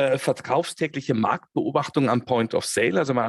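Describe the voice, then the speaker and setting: A man's fairly high-pitched voice, dry and close with no echo. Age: 50s. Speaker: head of controlling and business intelligence. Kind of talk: interview.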